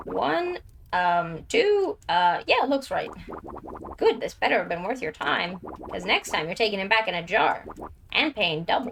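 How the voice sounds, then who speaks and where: Over sound effects in the background, a woman does a put-on character voice at a medium pitch and moderate pace, with long, frequent pauses. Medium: game stream. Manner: gruff, brusque.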